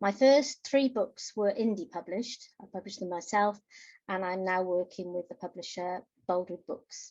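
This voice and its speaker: Delivered at a moderate pace, an unremarkable speaking voice shows ordinary pitch variation and big swings in loudness. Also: woman, medium pitch for a woman. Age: 60s. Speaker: novelist. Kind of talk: interview.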